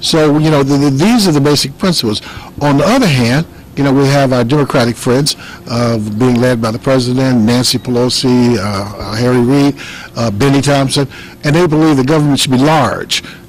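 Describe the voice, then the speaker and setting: Over noticeable background noise, a man in an American accent talks at a medium pitch with ordinary pitch variation and very even loudness. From Chicago, Illinois. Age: 60s. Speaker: congressional candidate. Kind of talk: political interview. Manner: halting, many fillers and repeats.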